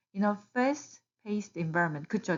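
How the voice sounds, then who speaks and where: A woman with an unremarkable speaking voice, a medium pitch and lively intonation. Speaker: YouTuber giving job-search advice to immigrants. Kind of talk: tutorial. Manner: casual, with fillers and self-corrections.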